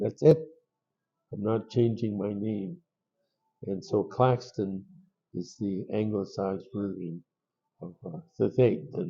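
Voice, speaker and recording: A man at a very slow pace and fairly low pitch, with ordinary pitch variation, big swings in loudness and long, frequent pauses. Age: old. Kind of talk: oral storytelling.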